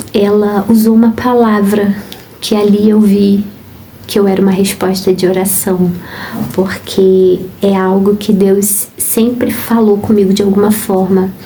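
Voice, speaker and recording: The voice is monotone and flat, at a fairly slow pace with very even loudness. Audible room echo and noticeable background noise surround it. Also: woman. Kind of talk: devotional talk. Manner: calm, gentle.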